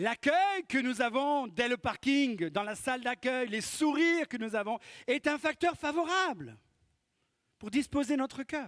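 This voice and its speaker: In a dry, close recording with no echo and a silent background, a man with a slight Corsican accent speaks very slowly at an extremely high pitch, his pitch swinging very widely. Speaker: pastor. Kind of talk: sermon. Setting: church.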